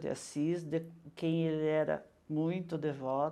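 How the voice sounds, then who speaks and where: With a very deep, low pitch and a dark, mellow tone, a woman speaks at a fairly slow pace against a quiet background. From Brazil, São Paulo state (Mairinque since age 10). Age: 60s. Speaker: retired teacher and educator. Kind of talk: interview.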